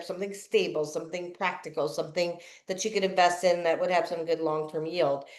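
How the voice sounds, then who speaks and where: A woman with an unremarkable speaking voice talks fairly quickly at a medium pitch with ordinary pitch variation. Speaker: podcast host. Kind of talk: podcast interview host talk.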